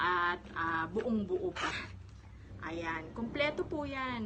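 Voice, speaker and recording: A woman talks at a very slow pace while noticeable noise fills the background. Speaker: public school teacher and vlogger. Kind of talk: casual vlog show-and-tell. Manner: conversational with frequent fillers.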